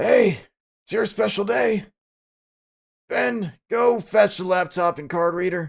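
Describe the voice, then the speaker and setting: A raspy, put-on character voice at a fairly slow pace, with long, frequent pauses. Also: man, high pitch for a man. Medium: game stream. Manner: friendly, fatherly.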